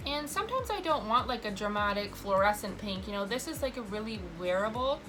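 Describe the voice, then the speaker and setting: A woman's fairly high voice at a moderate pace, lively in intonation, with noticeable background noise and audible room echo. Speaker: makeup artist vlogger. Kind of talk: makeup tutorial. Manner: stutters a little; casual chatty.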